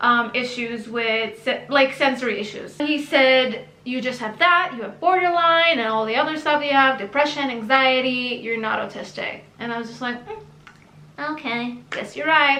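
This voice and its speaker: A woman's high-pitched, raised, projected voice with big swings in loudness, audible room echo and noticeable background noise. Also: ordinary pitch variation, moderate pace. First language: Hebrew. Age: 30s. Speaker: YouTuber. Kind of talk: personal story monologue. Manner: casual, chatty.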